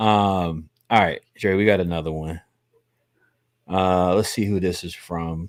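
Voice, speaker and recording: The background is silent and the recording very clean. A man's voice is heard. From US South. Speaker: real estate investor, live stream host. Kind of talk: casual chat during live sales calls stream. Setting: live stream. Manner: animated.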